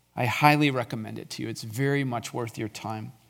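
Recorded very cleanly against a silent background, a man has an ordinary speaking voice with a medium pitch and fairly even intonation. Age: 50s. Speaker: lay preacher, former church elder. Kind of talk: sermon. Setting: church.

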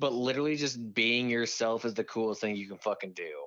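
An ordinary speaking voice from a man, mid-pitched, moderate in tempo, and ordinary in pitch variation. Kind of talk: angry rant. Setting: phone call.

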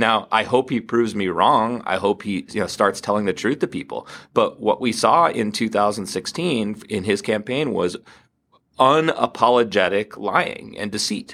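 Speaking in an unremarkable speaking voice, a man keeps a medium pitch with ordinary pitch variation at a moderate pace. It is a very clean recording with a silent background. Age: 40s. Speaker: tech design executive and startup founder. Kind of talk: casual chat. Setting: studio.

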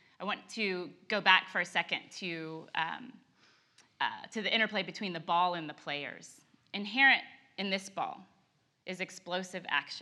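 With an American accent, the speaker has a bright, sharp tone and ordinary pitch variation. The pace is moderate, broken by long, frequent pauses. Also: woman, medium pitch for a woman. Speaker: co-teacher. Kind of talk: sermon. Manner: animated.

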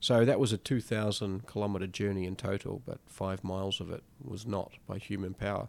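In a New Zealand accent, a man speaks at a fairly low pitch on a very clean recording with a silent background. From rural New Zealand. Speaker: explorer. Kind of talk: interview.

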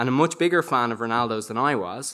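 A man talks fairly quickly at a medium pitch. He has a normal speaking voice with ordinary pitch variation. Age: 30s. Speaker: storyteller. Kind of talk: storytelling performance.

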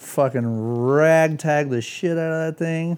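A man with an American accent speaks in an animated tone. His pitch sits fairly high. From Santa Cruz area, California. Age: 30s. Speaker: skateboarder and motorcycle rider. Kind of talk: casual chat.

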